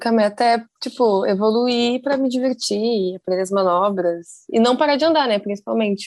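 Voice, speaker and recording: At a moderate pace, a plain, everyday voice keeps very even loudness and ordinary pitch variation. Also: woman, fairly high pitch for a woman, hardly any pauses. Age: 20s. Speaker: skateboarder and design student. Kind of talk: casual chat.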